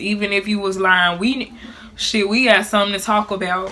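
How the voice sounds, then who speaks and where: A woman speaks in a flat monotone at a medium pitch and a moderate pace. Noticeable background noise runs underneath. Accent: Memphis. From Memphis. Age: 20s. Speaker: YouTube vlogger. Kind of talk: casual talk to camera.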